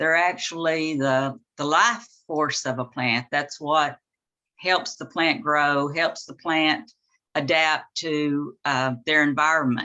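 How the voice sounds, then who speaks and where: Very slow speech in a Southern US accent with a bright, sharp tone. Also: woman, very deep, low pitch for a woman, ordinary pitch variation, quiet background. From US South, southern Arkansas. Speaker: author and gardening teacher. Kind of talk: presentation. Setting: video call.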